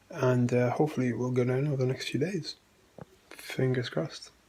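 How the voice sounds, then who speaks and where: A man speaks at a moderate pace and medium pitch, his intonation fairly even. Background noise is noticeable. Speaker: patient video diarist. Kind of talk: video diary. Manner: halting.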